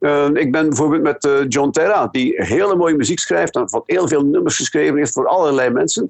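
A man talks at a fairly quick pace with hardly any pauses and very even loudness. Noticeable background noise sits behind him. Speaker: songwriter and former radio presenter. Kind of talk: phone interview. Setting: phone call. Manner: halting.

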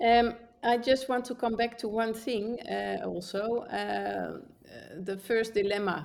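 Speaking at a fairly slow pace, a woman with a Dutch accent uses a fairly high pitch and ordinary pitch variation. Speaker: travel podcast co-host. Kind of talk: casual interview.

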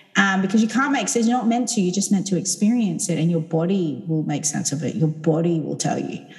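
A woman with a fairly low voice talks at a fairly quick clip, barely pausing. Her intonation is lively, and background noise is noticeable. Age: 30s. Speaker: sound healer. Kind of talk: casual chat.

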